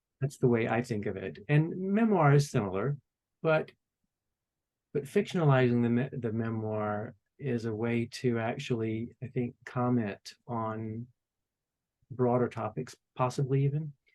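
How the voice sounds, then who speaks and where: A man with an American accent talks in an ordinary speaking voice at a medium pitch. His pitch varies in an ordinary way, and his pace is fairly slow. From Warm Springs, Georgia, US. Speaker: author, former stage actor. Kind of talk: interview answer.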